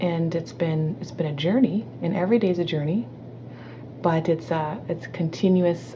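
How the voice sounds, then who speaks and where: Over noticeable background noise, a woman speaks with a very deep, low pitch and lively intonation. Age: 40s. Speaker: entrepreneur and speaker. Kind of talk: interview testimony. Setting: call.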